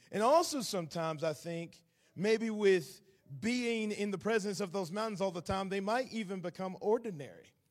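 Speaking with a Southern US accent, a man with a high pitch talks at a moderate pace with ordinary pitch variation. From Atlanta, Georgia, US South. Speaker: visiting preacher. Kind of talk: sermon. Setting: church.

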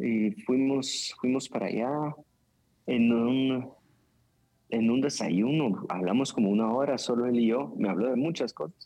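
With a dark, mellow tone, a man talks at a fairly slow pace, pausing long and often. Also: medium pitch for a man, ordinary pitch variation. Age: 30s. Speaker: pastor. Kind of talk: casual chat.

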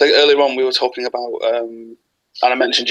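Someone with an English accent talks at a very fast pace, the sound dry and close with no echo. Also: man. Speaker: wrestling fan. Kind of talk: casual chat. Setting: video call.

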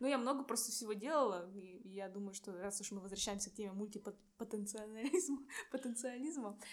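A woman with a normal speaking voice talks at a fairly quick pace and fairly high pitch, using ordinary pitch variation. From Irkutsk, Siberia, Russia. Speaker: civil engineer and stand-up comedian. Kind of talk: casual interview.

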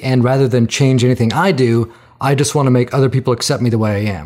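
This man has a normal speaking voice at medium pitch. He talks at a fairly quick pace. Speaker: podcast host. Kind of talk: interview conversation.

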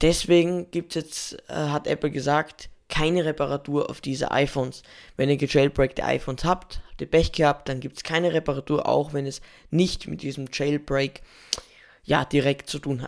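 In a very clean recording with a silent background, a man speaks in a fairly high, monotone voice with flat intonation. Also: moderate pace. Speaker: tech news podcaster. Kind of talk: daily news podcast. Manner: hesitant with fillers.

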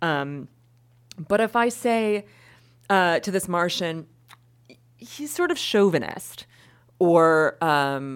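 A woman with an American accent, fairly low-pitched, very slow, with very wide swings in pitch. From Wisconsin. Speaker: law professor. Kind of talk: interview on academic research.

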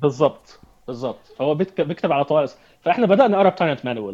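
This man's fairly high pitch carries ordinary pitch variation as he moves along at a fairly quick pace. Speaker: entrepreneur and activist. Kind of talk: interview. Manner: halting with repetitions.

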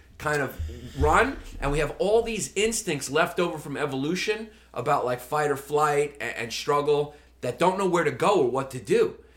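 A man talks in a New York accent at a moderate pace. His pitch is fairly high, with ordinary variation. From Brooklyn, New York. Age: 40s. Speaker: comedian. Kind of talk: casual chat.

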